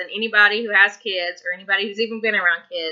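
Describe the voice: A woman with a Tennessee accent speaks at a fast pace and a medium pitch. Her bright, sharp tone keeps a fairly even intonation. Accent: Southern US, Tennessee.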